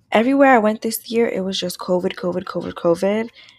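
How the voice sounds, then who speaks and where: In a very clean recording with a silent background, a woman with an American accent talks at a fairly quick pace and fairly high pitch with lively intonation. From New York City, Brooklyn. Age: 20s. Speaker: podcast host. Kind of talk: solo podcast monologue. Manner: casual.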